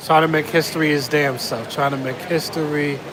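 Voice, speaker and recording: Fairly slow, monotone, flat delivery with noticeable background noise and audible room echo. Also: man. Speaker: travel vlogger. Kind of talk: casual vlog monologue. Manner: repetitive, rambling.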